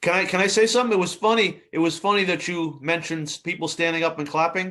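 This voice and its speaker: Very fast and in a New York accent, a man talks with a high pitch and a bright, sharp tone. His intonation stays fairly even. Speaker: film review show host. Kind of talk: casual chat.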